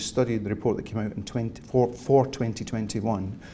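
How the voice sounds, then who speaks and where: A man with a Scottish accent and vocal fry, dark and mellow in tone, at medium pitch with fairly even intonation and a fairly quick pace. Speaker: cybersecurity industry speaker. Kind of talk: keynote talk.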